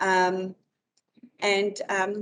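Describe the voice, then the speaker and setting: A woman is talking. Her pitch is medium. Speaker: bowls club organiser. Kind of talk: presentation. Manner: loud; halting.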